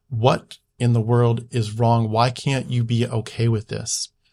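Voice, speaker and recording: The speaker has an American accent. The voice is somewhat breathy. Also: man. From US Northeast (Philadelphia area). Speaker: YouTuber, former missionary trainee. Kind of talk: casual interview chat.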